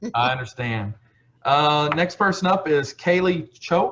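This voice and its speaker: A man's fairly high voice in a Texas accent, with lively intonation and very even loudness. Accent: Texas twang. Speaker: county ambassador hosting scholarship call. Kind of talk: casual video call roll call. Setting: video call. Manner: casual, relaxed.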